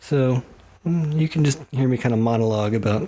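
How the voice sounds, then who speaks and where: A man talks at a fairly quick pace with a medium pitch and ordinary pitch variation. Noticeable background noise runs underneath. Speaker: woodworker guest-hosting a podcast. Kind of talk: casual monologue. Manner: casual, with many fillers.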